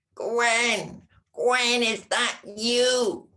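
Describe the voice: The voice is a put-on character voice pitched fairly high.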